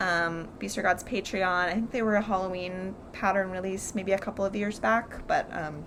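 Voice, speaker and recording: With fairly even intonation, a woman talks at a medium pitch. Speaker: crafting video host. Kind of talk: casual chat. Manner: fast; hesitant, many fillers.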